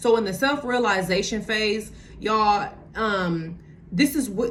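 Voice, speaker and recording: In a room with audible echo, a woman with a medium-pitched voice speaks very slowly and with lively intonation. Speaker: motivational vlogger. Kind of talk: motivational talk to camera. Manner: casual, many fillers.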